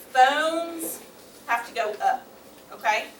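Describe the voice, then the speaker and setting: A woman speaks loudly at a very slow pace with lively intonation. Audible room echo and noticeable background noise surround her. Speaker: school nurse leading a class for kids. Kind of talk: workshop class for kids.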